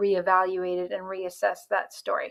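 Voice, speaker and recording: Here a woman talks. Her pitch is medium. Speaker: life coach. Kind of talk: online training talk. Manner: fast; casual, conversational.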